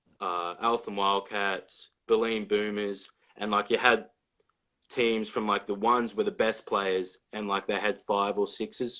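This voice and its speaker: A man with an Australian accent speaks at a fairly slow pace and a fairly low pitch. His tone is bright and sharp, and his intonation is monotone and flat. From Australia, Victoria (near Melbourne). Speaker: college basketball player. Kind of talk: casual interview.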